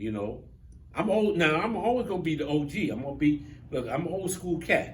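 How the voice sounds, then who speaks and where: A man's lively, up-and-down delivery at a moderate pace, with vocal fry and audible room echo. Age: 60s. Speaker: talk show host. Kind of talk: casual chat.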